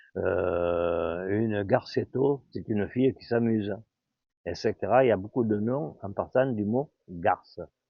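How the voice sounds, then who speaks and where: Here a man speaks at a very slow pace with a fairly low pitch and ordinary pitch variation. His loudness swings a lot. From Provence, France (Aubagne). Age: 80s+. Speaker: local elder sharing neighbourhood history. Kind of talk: oral history storytelling. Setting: outdoors. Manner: conversational with hesitations.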